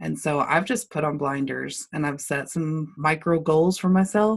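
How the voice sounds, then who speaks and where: Over a quiet background, a woman with a Texan accent talks at a fairly slow pace, her very deep, low pitch showing ordinary pitch variation. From Lubbock, Texas. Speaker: marketing business owner. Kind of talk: casual interview conversation.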